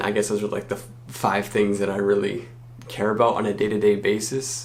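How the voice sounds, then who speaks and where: Noticeable background noise sits behind the voice. A man speaks at a moderate pace with fairly low pitch. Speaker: university student. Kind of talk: casual talk to camera. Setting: dorm room.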